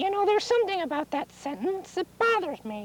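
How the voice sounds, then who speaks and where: This cartoonish character voice sounds female, squeaky and extremely high-pitched, delivered at a fairly quick pace. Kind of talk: children's TV comic acting. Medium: puppet show. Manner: fretful, flustered, many 'oh dear' interjections.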